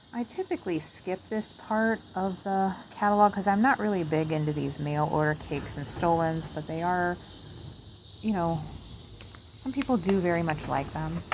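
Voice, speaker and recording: Over noticeable background noise, a woman with an American accent speaks at a fairly low pitch with lively intonation. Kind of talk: ASMR catalog page-through, soft-spoken casual talk to camera. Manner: soft-spoken, slow, relaxed.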